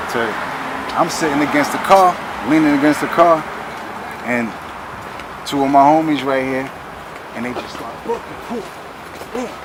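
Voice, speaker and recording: Amid noticeable background noise and audible room echo, a man speaks with ordinary pitch variation, big swings in loudness, and long, frequent pauses. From Brooklyn, New York City. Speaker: rapper. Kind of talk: documentary interview, casual storytelling. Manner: quiet, can't speak loud; animated.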